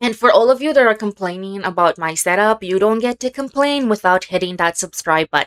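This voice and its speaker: A woman talks at a fairly quick pace with lively intonation and a medium pitch. Noticeable background noise sits behind her. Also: dry, close sound with no echo. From Israel (southern, Ashdod). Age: 30s. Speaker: YouTuber, commentator. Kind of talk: video monologue commentary.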